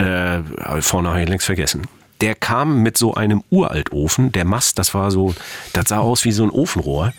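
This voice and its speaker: Loudness stays very even against noticeable background noise. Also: man, fairly low pitch for a man, lively intonation, moderate pace. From East Germany. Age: 50s. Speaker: author and former sailor. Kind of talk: interview.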